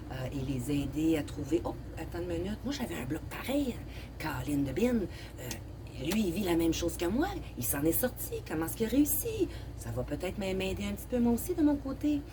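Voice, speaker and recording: A woman's voice carries audible room echo amid noticeable background noise. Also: moderate pace. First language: English (speaking French). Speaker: online talk show host. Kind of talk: casual therapeutic conversation. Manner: halting, many hesitations.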